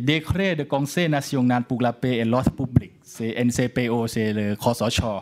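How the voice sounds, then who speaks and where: A man with a Thai accent at medium pitch, ordinary pitch variation, a moderate pace and hardly any pauses. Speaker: law scholar. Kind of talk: lecture.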